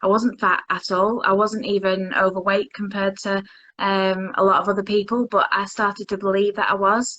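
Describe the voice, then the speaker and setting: At a moderate pace, a woman talks with a Lancashire accent. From Lancashire, northern England. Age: 30s. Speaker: interviewee sharing mental health story. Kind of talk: interview. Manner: halting.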